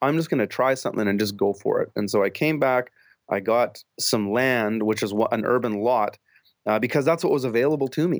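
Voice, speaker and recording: In a Canadian accent, a man talks in an ordinary speaking voice at a fairly quick pace with ordinary pitch variation. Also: medium pitch for a man, very even loudness, very clean recording, silent background. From British Columbia, Canada. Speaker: urban farmer. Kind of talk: interview.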